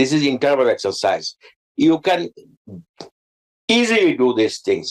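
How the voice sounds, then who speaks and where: A man with a Bengali accent speaks at a moderate pace in a dry, close sound with no echo. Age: 80s+. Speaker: cardiologist. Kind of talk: health talk show interview. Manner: halting, with repetitions and fillers.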